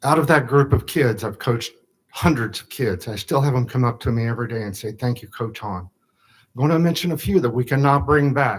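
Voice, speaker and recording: A man with an American accent speaks at a moderate pace in a somewhat breathy, medium-pitched voice with ordinary pitch variation, in a very clean recording with a silent background. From US Midwest, Platte County, Missouri. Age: 60s. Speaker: public commenter, former youth football coach. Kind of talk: public comment at government meeting. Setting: county commission meeting room. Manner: emotional, halting.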